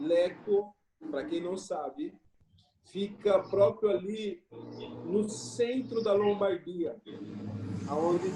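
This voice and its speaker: This man speaks at a very slow pace. His pitch sits high for a man. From Brazil, São Paulo state (Jundiaí). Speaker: missionary pastor. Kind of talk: casual chat.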